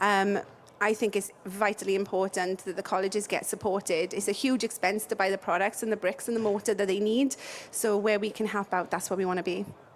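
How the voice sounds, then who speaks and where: With a Welsh accent, a woman at a medium pitch talks at a fairly quick pace in a monotone, flat intonation and very even loudness. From South Wales. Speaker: building products company representative. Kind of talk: interview.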